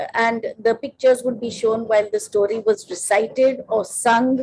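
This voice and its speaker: Speaking with an Indian accent, a woman uses a fairly high pitch at a moderate pace. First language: Konkani. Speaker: children's author and illustrator. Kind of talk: podcast interview.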